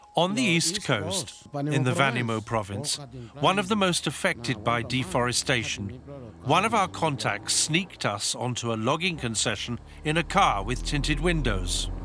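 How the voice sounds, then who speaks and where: Despite noticeable background noise, a man's very wide pitch swings come through at a very even loudness. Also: fairly high pitch for a man, moderate pace. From Papua New Guinea. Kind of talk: documentary narration.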